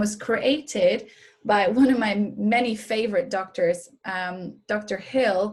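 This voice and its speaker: A woman's somewhat breathy, fairly high voice with ordinary pitch variation. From Norway. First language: Norwegian. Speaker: wellness coach and massage therapist. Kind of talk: webinar presentation. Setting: online webinar.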